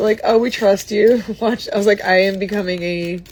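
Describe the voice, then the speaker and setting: Noticeable background noise lies behind speech at a moderate pace. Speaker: artist livestreaming painting. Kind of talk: casual live stream chat while painting. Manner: casual, hesitant with many fillers.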